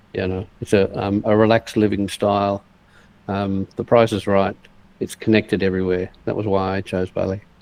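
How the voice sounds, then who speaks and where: Speaking at a moderate pace, a man with an Australian accent keeps a fairly low pitch and a monotone, flat intonation. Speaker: online entrepreneur. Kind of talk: casual chat. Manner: halting.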